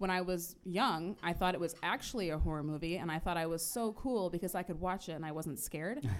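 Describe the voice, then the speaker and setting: A woman with a fairly low pitch talks at a fairly quick pace with hardly any pauses. It is an ordinary speaking voice with ordinary pitch variation. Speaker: coffee shop staff. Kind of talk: casual interview. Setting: coffee shop with live audience.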